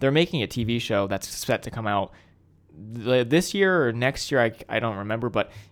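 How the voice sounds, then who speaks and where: Lively in intonation, a man with an ordinary speaking voice and medium pitch speaks at a moderate pace on a very clean recording with a silent background. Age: 20s. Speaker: podcast co-host. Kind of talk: casual chat.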